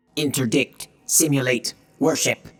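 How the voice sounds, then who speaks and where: The speaker uses a put-on character voice pitched low to middle. The delivery is fairly slow. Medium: read story. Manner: flat, clipped single words.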